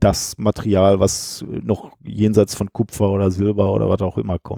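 The man's tone is dark and mellow. His sound is dry and close, with no echo. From Ruhr area, Gelsenkirchen. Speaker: science communicator and podcaster. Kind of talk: casual interview.

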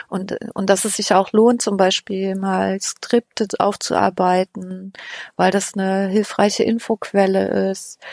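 At a very slow pace, a woman speaks in a medium pitch with monotone, flat intonation, the sound dry and close with no echo. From Thuringia, eastern Germany (Weimar). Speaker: podcast researcher. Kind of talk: casual interview. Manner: hesitant, many fillers.

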